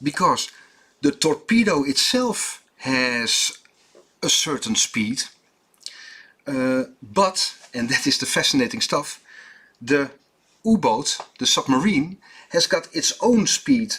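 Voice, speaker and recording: This man has a high, bright, sharp voice and a Dutch accent, with very wide pitch swings. He talks very slowly, with long, frequent pauses. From Netherlands. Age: 50s. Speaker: watchmaker. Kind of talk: tutorial. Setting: workshop. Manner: halting, many fillers.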